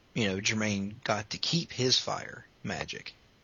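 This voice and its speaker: Here a man with a medium pitch uses an unremarkable speaking voice, a fairly slow pace and fairly even intonation. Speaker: podcast host. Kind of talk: casual chat.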